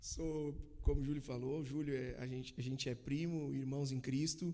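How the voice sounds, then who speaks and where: In a dark, mellow tone, the speaker talks with monotone, flat intonation. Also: man. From Bento Gonçalves, Rio Grande do Sul, Brazil. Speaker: church member sharing testimony. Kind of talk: casual chat.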